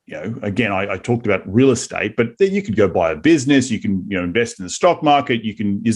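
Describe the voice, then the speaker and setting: Speaking very fast in an Australian accent, a man uses lively intonation at a medium pitch. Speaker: real estate investor, podcast host. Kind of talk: interview conversation.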